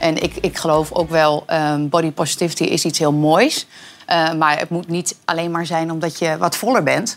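Against noticeable background noise, a woman talks at a moderate pace in a fairly low pitch with fairly even intonation. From Twente, eastern Netherlands. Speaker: talk show guest. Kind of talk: casual chat. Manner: halting.

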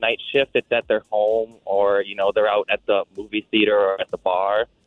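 This man speaks with ordinary pitch variation. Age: 20s. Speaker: repo specialist. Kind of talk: casual chat. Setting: phone call. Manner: halting.

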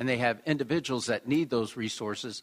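A man of medium pitch speaks with fairly even intonation in a Midwestern American accent. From Springfield, Illinois. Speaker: mayor and political candidate. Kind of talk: political debate. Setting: stage with audience.

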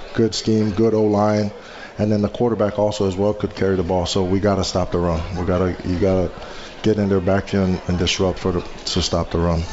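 The delivery is fairly quick with monotone, flat intonation. Noticeable background noise runs underneath. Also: man, fairly low pitch for a man. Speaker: college football assistant coach, former NFL player. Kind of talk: radio interview.

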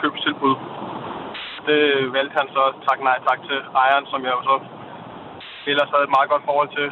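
A man speaks at a fairly high pitch. Noticeable background noise runs under his voice. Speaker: caller. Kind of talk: phone-in call. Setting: phone call from a car.

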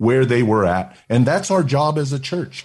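An animated man with lively intonation, a medium pitch, a somewhat breathy sound and an American accent. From Oakland, California. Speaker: senior pastor. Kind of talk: interview and sermon excerpts.

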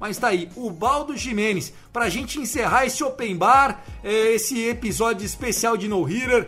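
Over noticeable background noise, a man with a high pitch uses a raised, projected voice and an animated tone, with hardly any pauses. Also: ordinary pitch variation, fairly slow pace. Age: 30s. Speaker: podcast host. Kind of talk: casual chat.

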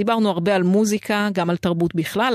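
At a moderate pace, a plain, everyday voice is heard in a very clean recording with a silent background. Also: woman. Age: 40s. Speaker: radio host. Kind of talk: scripted narration; casual chat. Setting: studio.

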